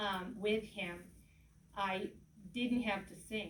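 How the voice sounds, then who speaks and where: There is audible room echo and noticeable background noise as a woman speaks at a fairly slow pace. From Yugoslavia (Serbia). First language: Serbian. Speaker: political candidate. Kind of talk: political speech. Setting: event with audience.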